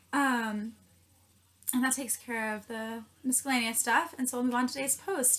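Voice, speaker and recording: Against noticeable background noise, a woman speaks at a high pitch and a fairly quick pace. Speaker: student vlogger. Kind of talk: casual vlog tutorial. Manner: fast.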